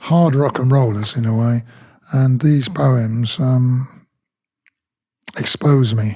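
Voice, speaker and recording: A man speaks very slowly at a medium pitch, somewhat breathy and dark, mellow in tone. His pitch varies in an ordinary way, with long, frequent pauses. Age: 70s. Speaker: rock singer and poet. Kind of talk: casual chat.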